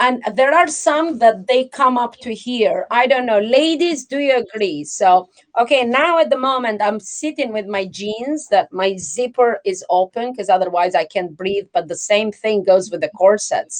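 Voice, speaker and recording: At a moderate pace and with hardly any pauses, a woman speaks in a fairly high pitch that moves through very wide swings. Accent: non-native. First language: not English. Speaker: livestream host. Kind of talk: casual chat. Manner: animated.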